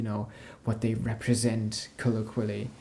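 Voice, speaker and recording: Soft-spoken and gentle in tone, a man speaks at medium pitch with noticeable background noise. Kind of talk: casual talk to camera, soft-spoken ASMR chat. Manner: soft-spoken, gentle.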